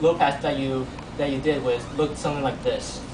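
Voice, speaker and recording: A man with a fairly high pitch speaks at a moderate pace. There is noticeable background noise behind him. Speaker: university teaching assistant. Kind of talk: classroom lab explanation. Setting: classroom lab. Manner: stuttering, repeats words. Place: classroom. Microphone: camera far.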